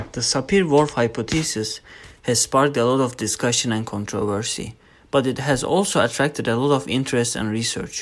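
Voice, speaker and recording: A man speaks at a fairly quick pace with medium pitch and ordinary pitch variation. The recording is very clean, with a silent background. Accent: Turkish. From Turkey. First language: Turkish. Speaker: linguistics student. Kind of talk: scripted narration.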